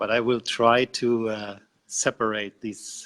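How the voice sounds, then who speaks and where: A man with a medium-pitched voice and a non-native accent speaks at a very slow pace. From Austria. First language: German. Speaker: spiritual teacher. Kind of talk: interview. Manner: halting.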